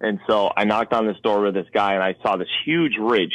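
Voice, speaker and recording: With an American accent, a man speaks at a moderate pace in an unremarkable speaking voice, fairly low in pitch. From Connecticut. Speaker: wildlife filmmaker and hunter. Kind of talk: casual interview.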